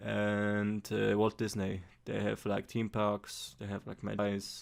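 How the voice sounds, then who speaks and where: A man with a Polish accent at a fairly slow pace, on a very clean recording with a silent background. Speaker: amateur investor vlogger. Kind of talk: casual vlog. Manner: halting, frequent repetitions and fillers; careful, trying to speak clearly.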